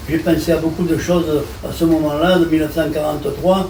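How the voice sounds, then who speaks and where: Delivered at a moderate pace in a monotone, flat way, the speech carries noticeable background noise and audible room echo. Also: man. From France, Marseille. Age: 80s+. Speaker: war veteran and deportation survivor. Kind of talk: interview testimony. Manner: halting.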